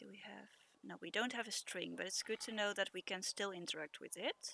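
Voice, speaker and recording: A woman speaks with a Dutch accent at a fairly quick pace. The sound is dry and close, with no echo. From Netherlands. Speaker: streamer. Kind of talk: gameplay commentary. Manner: halting, many fillers.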